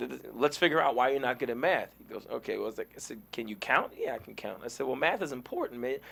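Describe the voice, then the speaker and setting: At a very fast pace with hardly any pauses, a man speaks with big swings in loudness. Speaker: actor. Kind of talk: interview.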